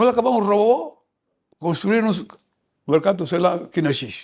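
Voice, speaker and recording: A man speaks at a fairly slow pace. His high voice moves through very wide pitch swings. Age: 80s+. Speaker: veteran politician. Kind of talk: interview. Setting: at his residence.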